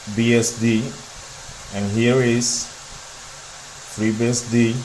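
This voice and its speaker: A man at medium pitch, monotone with flat intonation, at a very slow pace, with audible room echo and noticeable background noise. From Dominican Republic. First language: Spanish. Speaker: tech YouTuber. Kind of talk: tech demo walkthrough.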